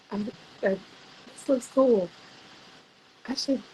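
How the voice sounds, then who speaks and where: A woman's pitch moves in an ordinary way while noticeable background noise continues behind her. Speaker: photographer. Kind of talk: interview. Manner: hesitant, many fillers.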